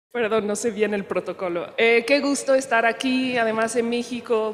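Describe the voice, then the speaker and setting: Against noticeable background noise, a woman with a fairly high pitch talks at a fairly slow pace and with fairly even intonation. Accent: French. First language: French (speaking Spanish). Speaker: panel moderator. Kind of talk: conference moderation. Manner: halting.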